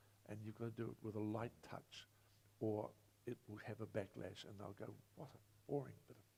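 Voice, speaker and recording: A man with a fairly low, dark and mellow voice speaks with vocal fry and long, frequent pauses. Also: fairly quick pace. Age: 70s. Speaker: former mayor, panelist. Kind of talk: panel discussion. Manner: animated.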